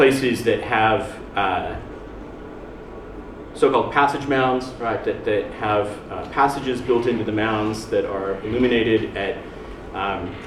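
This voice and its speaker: A speaker with an American accent talks at a fairly slow pace with fairly even intonation and long, frequent pauses. Noticeable background noise and audible room echo are present. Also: man, medium pitch for a man. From United States. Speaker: academic researcher. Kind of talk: conference talk. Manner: halting, many fillers.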